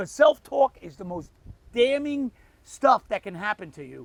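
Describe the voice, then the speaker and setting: A man speaks at an extremely high pitch with very wide pitch swings. The sound is dry and close, with no echo. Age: 60s. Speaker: DIY mechanic and painter. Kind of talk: casual chat; tutorial.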